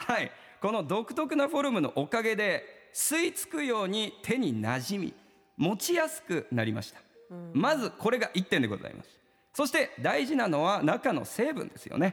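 Animated and at a moderate pace, a man speaks in a high voice with very wide pitch swings and big swings in loudness. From Kumamoto, Japan. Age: 30s. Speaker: live demonstration salesman. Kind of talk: sales pitch demonstration.

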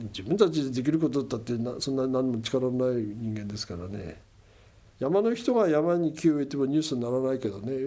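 Lively in intonation, a man speaks at a fairly quick pace with a medium-pitched, dark, mellow tone. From Kesennuma, Miyagi (Tohoku, Japan). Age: 70s. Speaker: oyster fisherman and environmental NPO head. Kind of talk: interview.

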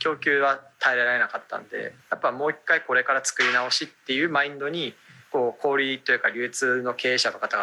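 A man with a plain, everyday voice talks at a fairly quick pace. His pitch is fairly high and his intonation fairly even. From Japan, Aomori (Hirosaki). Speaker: startup founder and CEO. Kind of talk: radio interview.

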